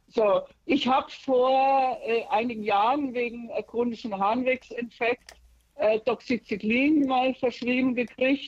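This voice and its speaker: The sound is dry and close, with no echo. A woman speaks at a fairly slow pace with a high pitch and ordinary pitch variation. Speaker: caller. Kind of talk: phone call describing symptoms. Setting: phone call. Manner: anxious.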